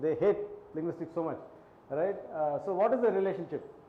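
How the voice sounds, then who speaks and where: Amid noticeable background noise and audible room echo, a man with a non-native accent speaks at a high pitch and moderate pace with fairly even intonation. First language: not Hindi. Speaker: linguistics lecturer. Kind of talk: lecture. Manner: conversational, many fillers.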